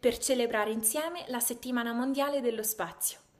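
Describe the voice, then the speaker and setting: A woman's high voice moves through ordinary pitch changes as she talks at a moderate pace. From Marche, Italy, then California from age 12. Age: young. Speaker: university student. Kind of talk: prepared video message to students.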